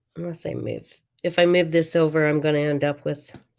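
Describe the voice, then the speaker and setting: A woman's very deep, low voice, mumbling at a moderate pace with monotone, flat intonation. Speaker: craft demonstrator. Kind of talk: live crafting tutorial. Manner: mumbling to herself; halting, many fillers.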